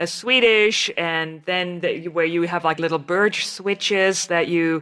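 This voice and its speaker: Speaking in a German accent, a woman has a bright, sharp tone, a fairly low pitch, fairly even intonation and a fairly slow pace. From Germany. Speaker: podcast host, naturopathic physician. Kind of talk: interview conversation.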